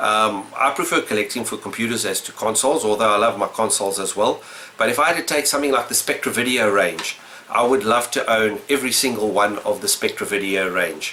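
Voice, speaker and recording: This voice has a South African accent. Noticeable background noise sits behind it. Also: man, medium pitch for a man, ordinary pitch variation, fairly quick pace. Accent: mild South African, says he doesn't change it. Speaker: retro gaming YouTuber. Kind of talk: casual vlog answering questions. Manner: unscripted, hesitant with fillers.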